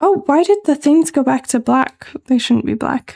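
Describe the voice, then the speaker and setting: Soft-spoken and whispering, a woman comes through with a dry, close sound and no echo. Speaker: VTuber streamer. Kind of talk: casual live-stream chat. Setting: live stream.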